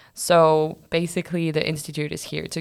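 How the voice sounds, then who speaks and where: With a French accent, a woman speaks at a moderate pace in a very deep, low pitch and monotone, flat intonation. The recording is very clean, with a silent background. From France. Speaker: master's student. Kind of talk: casual chat.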